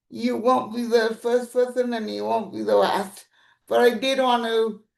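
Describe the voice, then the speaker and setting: A woman speaks with a fairly high pitch. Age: 40s. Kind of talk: webinar panel discussion. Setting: video call from bedroom.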